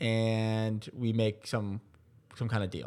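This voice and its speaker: The recording is very clean, with a silent background. A man speaks at a medium pitch with an Ontario accent. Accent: Canadian (Ontario). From Ontario, Canada. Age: 20s. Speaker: sports team owner. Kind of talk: interview conversation.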